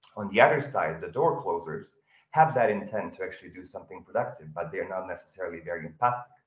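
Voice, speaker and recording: Amid audible room echo, a man talks at a very fast pace with big swings in loudness. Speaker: audience member, salesperson. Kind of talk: audience question. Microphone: video call.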